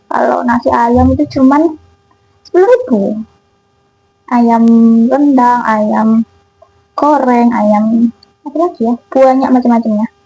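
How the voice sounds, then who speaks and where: Music plays in the background behind speech at a fairly slow pace with ordinary pitch variation. Long pauses come often. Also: woman, high pitch for a woman. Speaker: cooking vlogger. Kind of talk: casual vlog chat while cooking. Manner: casual, chatty. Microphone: new mic, sounds too quiet.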